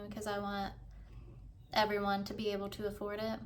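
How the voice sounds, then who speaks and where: A woman with an American accent speaks at a moderate pace, with audible room echo. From US South. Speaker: author vlogger. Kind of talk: casual vlog talk. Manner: casual, stumbling over words.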